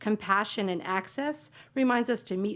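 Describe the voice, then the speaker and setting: A woman talks in an unremarkable speaking voice at a moderate pace. Her pitch is medium, with ordinary pitch variation. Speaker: county staff presenter. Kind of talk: presentation to county board. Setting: public board meeting.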